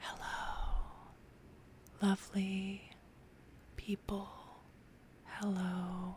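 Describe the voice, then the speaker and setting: A woman's soft-spoken, somewhat breathy whisper at a very slow pace, with long, frequent pauses. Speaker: ASMR creator. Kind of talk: ASMR talk to camera. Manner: soft-spoken, whispered.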